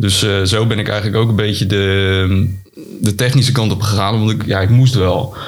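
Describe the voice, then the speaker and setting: Through noticeable background noise and audible room echo, a man keeps very even loudness and fairly even intonation, talking at a moderate pace with a fairly low pitch. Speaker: SEO consultant and tool developer. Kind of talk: interview. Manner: halting.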